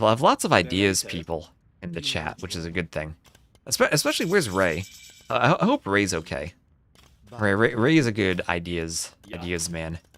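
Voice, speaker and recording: A speaker with a New Jersey accent talks at a moderate pace with long, frequent pauses. The recording is very clean, the background silent. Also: man, very deep, low pitch for a man, lively intonation. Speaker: game commentator. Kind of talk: live game commentary. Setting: livestream. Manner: stammering repetitions.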